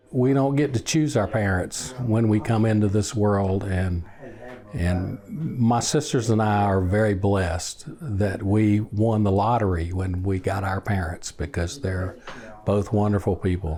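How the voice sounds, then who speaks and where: Speaking at a fairly slow pace, a man with a fairly low pitch keeps a very even loudness and ordinary pitch variation. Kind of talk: interview answer.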